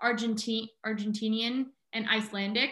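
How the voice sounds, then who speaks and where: Fairly high in pitch, a woman with an American accent has a bright, sharp tone. She speaks at a fairly slow pace. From Southern California. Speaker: marine biology student and wildlife photographer. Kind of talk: casual interview chat.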